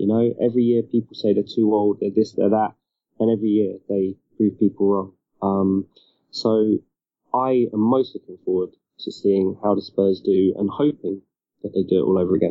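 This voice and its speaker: A man with a British accent talks at a fairly low pitch. His intonation stays fairly even at a moderate pace. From UK. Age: 30s. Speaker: basketball journalist. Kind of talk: casual interview chat.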